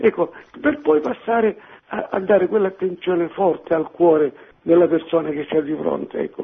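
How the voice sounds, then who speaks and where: This man has a high pitch and speaks at a moderate pace. His pitch varies in an ordinary way. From Reggio Calabria, Italy. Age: 60s. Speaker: caller. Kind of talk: casual chat. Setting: phone call.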